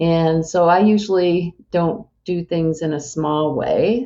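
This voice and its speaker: A woman with a plain, everyday voice speaks at a fairly low pitch with ordinary pitch variation. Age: 60s. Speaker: bariatric surgery patient and amateur athlete. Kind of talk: interview conversation.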